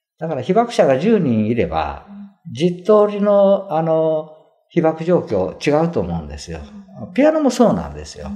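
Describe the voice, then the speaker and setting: Big swings in loudness from a male speaker at a moderate pace. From Hiroshima, Japan. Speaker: piano tuner. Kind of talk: interview. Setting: museum visit.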